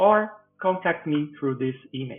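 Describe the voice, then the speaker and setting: A man with a Brazilian Portuguese accent and very wide pitch swings. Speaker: physics professor. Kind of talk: tutorial.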